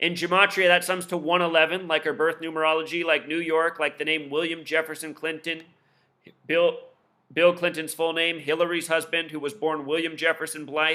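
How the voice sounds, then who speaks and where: A man talks at a fairly quick pace and a fairly high pitch. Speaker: conspiracy commentary video host. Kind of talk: casual monologue commentary. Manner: fast; animated.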